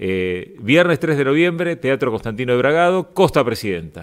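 Over a quiet background, a man with a Rioplatense accent speaks at a moderate pace, his pitch swinging very widely. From Argentina. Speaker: radio host. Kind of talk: interview. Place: studio. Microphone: studio mic.

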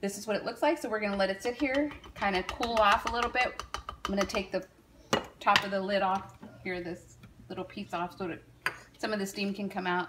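A woman talks at a fairly quick pace with ordinary pitch variation. Loud noise fills the background. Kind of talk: cooking tutorial. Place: kitchen. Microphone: phone near.

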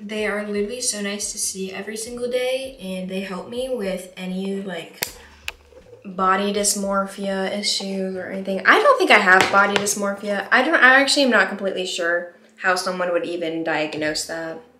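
Amid audible room echo, a woman speaks at a moderate pace with ordinary pitch variation and big swings in loudness. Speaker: vlogger. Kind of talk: casual vlog chat. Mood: upbeat, encouraging. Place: bathroom. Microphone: phone near.

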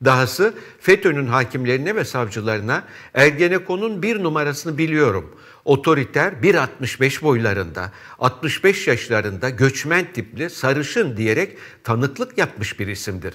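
The setting behind the speaker is quiet. His pitch swings very widely as this man talks. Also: fairly slow pace. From Istanbul, Turkey; Turkey. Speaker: TV news commentator. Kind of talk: press review and commentary. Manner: formal. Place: studio. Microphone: lapel.

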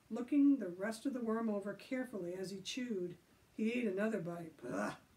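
What you hear is a natural reading voice.

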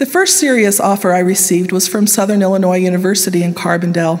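A woman speaks with a western US accent. Her pace is fairly quick. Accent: western American. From Utah, Salt Lake Valley; Utah. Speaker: university professor. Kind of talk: devotional speech. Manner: formal. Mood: earnest, personal storytelling. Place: hall. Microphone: podium.

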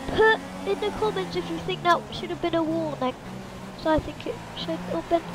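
Against noticeable background noise, a woman speaks with long, frequent pauses. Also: moderate pace. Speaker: gamer. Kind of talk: casual gameplay commentary. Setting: home, speaking into a mic while gaming. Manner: animated, excitable.

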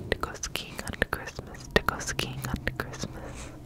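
Over loud background noise, a soft-spoken woman whispers at a very slow pace, the sound dry with no echo. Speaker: ASMR creator. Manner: soft close-mic ASMR whisper. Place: home room. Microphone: studio mic.

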